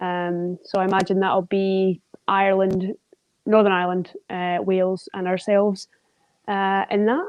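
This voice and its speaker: A woman with a Scottish accent speaks at a fairly slow pace and a medium pitch. Her intonation is monotone and flat. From Scotland. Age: 30s. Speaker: wheelchair basketball player. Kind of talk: podcast interview.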